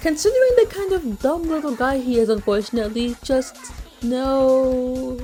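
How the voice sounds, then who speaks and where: Music plays in the background as a woman speaks at a fairly slow pace. Her voice makes very wide pitch swings. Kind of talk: video essay commentary.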